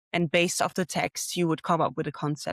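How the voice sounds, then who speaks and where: With a Dutch accent, a woman speaks in a fairly low voice, the sound dry and close with no echo on a very clean recording over a silent background. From Netherlands. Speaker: graphic design graduate. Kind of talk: interview.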